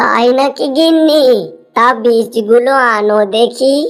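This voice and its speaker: A woman's cartoonish character voice, high in pitch, very slow, with ordinary pitch variation and faint music in the background. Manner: homely, warm.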